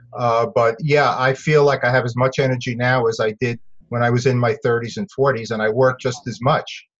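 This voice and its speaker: A somewhat breathy man with an American accent at medium pitch, with hardly any pauses. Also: fairly even intonation, fairly quick pace. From New York City (Bronx). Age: 60s. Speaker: dentist and investing educator. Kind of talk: interview.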